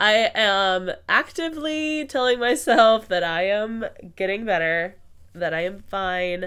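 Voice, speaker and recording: Her medium-pitched voice swings very widely in pitch as the woman speaks. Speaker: podcast host. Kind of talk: casual podcast talk.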